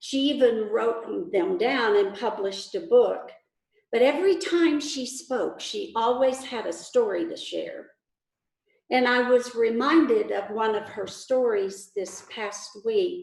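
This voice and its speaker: A woman's high-pitched voice at a very slow pace, with very wide pitch swings, big swings in loudness and audible room echo. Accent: Texas. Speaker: pastor. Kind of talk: sermon.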